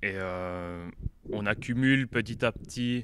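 A man is heard with a dry sound and no echo, though noticeable background noise is present. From French-speaking Switzerland. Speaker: metal band member. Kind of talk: band interview. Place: hall. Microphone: handheld.

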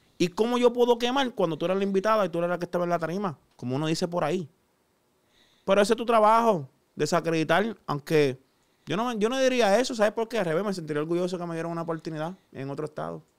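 A man's high pitch in a Puerto Rican accent, very fast and with lively intonation, on a very clean recording with a silent background. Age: 30s. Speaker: chef. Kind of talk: casual chat. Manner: animated.

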